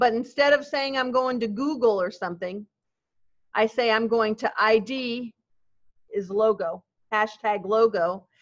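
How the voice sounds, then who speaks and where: A woman talks at a fairly slow pace in an unremarkable speaking voice. Her pitch is fairly high, with ordinary variation. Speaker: web development teacher. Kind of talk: classroom lecture. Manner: casual, conversational.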